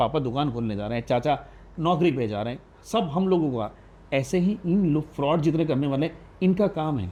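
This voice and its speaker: Lively intonation, a dark, mellow tone and a moderate pace against a quiet background. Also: man. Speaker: radio jockey. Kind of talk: podcast interview answer.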